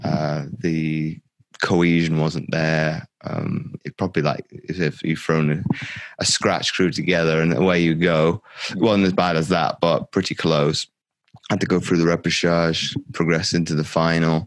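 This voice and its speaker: Very deep, low, monotone male voice with an American accent, fairly slow, in a dry, close sound with no echo. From grew up in military environment, attended American school abroad. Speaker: former Paralympic athlete. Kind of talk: interview conversation. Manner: halting, many repetitions.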